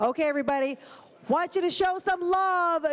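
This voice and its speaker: Animated in tone, a woman speaks with a Chicago accent at an extremely high pitch. Her pace is moderate and her pitch variation is ordinary. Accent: Chicago South Side. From Chicago, South Side. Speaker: master of ceremonies. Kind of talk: live event hosting. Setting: stage with audience.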